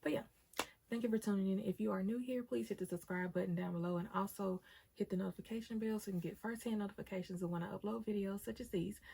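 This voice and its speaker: At a very fast pace, a woman of medium pitch speaks in a dark, mellow, somewhat breathy tone with ordinary pitch variation. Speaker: beauty YouTuber. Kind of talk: makeup tutorial. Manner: casual, chatty.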